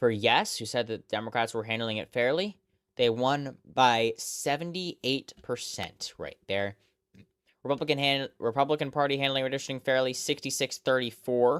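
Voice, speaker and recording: A normal speaking voice with ordinary pitch variation at a moderate pace, in a dry, close sound with no echo. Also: man, medium pitch for a man. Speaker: election results streamer. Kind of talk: live analysis of election results. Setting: live stream.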